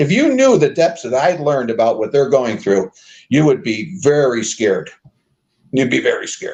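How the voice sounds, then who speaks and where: Lively intonation and a somewhat breathy delivery, with an American accent. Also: man, fairly high pitch for a man, moderate pace. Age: 60s. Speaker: former mayoral candidate. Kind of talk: interview.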